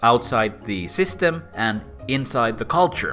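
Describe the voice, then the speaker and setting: The speaker is a man with a bright, sharp tone. His pitch swings very widely. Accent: Finnish. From Finland. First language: Finnish. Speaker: philosopher and author. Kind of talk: explainer video.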